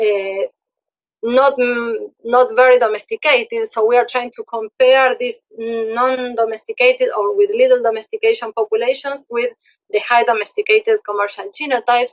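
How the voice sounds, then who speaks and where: A woman speaks in a Spanish accent at a moderate pace. Her voice is high, with ordinary pitch variation. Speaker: researcher. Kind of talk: lecture.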